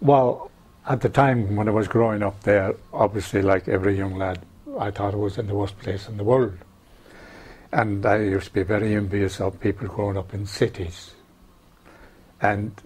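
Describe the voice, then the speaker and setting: Spoken at a moderate pace, the voice is somewhat breathy. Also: man. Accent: Irish. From west of Ireland, County Roscommon. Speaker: oral history interviewee. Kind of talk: oral history interview.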